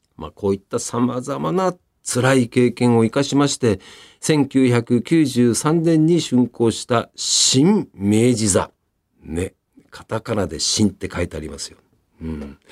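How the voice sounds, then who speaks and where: A relaxed man's voice at a very slow pace, with very wide pitch swings, a very clean recording against a silent background, and a dry, close sound with no echo. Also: medium pitch for a man. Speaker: radio personality. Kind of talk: radio program narration. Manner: relaxed conversational.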